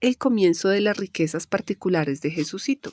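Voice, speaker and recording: A woman with an inland Colombian accent speaks at a fairly slow pace with lively intonation. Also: dry, close sound with no echo. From Colombia, interior. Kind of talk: audiobook reading of nonfiction chronicle.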